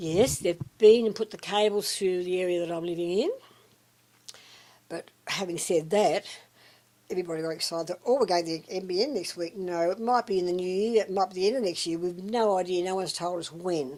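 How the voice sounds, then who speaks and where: A woman with an Australian accent, medium in pitch, at a fairly quick pace, with ordinary pitch variation. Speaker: retiree. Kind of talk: interview answer.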